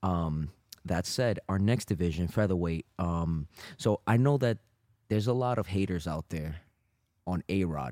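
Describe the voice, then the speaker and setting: A man's very deep, low voice with a dark, mellow tone, fairly slow and broken by long, frequent pauses, dry and close with no echo, in a very clean recording with a silent background. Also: lively intonation. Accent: New York. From Brooklyn, New York. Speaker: jiu-jitsu instructor and podcast co-host. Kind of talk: casual chat.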